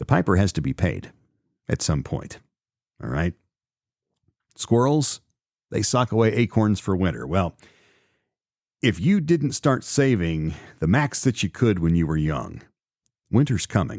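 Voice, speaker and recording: Very wide pitch swings mark this fairly slow delivery, recorded very cleanly with a silent background and a dry, close sound with no echo. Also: man, fairly low pitch for a man. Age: 50s. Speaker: podcast host. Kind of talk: solo podcast commentary. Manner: casual, conversational with fillers.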